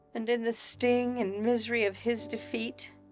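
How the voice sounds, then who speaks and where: A woman with an American accent speaks at a fairly slow pace in a fairly high pitch, with music playing in the background. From United States. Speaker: voice actor. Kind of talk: short story reading for sleep.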